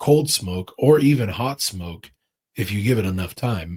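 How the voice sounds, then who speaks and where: Somewhat breathy, a man speaks at a fairly low pitch with lively intonation. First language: Russian. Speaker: chef. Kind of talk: casual chat.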